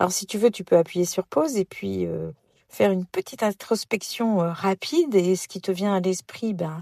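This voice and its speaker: At a medium pitch and moderate pace, a woman speaks with a dark, mellow tone and lively intonation, the sound dry and close with no echo. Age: 60s. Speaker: podcast host, personal development coach. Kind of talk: podcast monologue. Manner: hesitant, many fillers.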